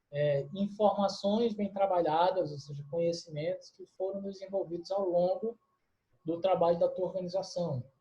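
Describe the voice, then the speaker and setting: This man's high voice has big swings in loudness. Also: fairly even intonation, moderate pace. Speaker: university lecturer. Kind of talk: lecture. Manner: hesitant, many fillers.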